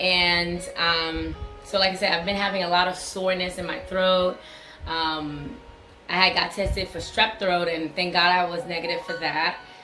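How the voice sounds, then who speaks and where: A woman at a medium pitch with fairly even intonation and a moderate pace, plus audible room echo and music in the background. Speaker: vlogger sharing health update. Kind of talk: casual vlog.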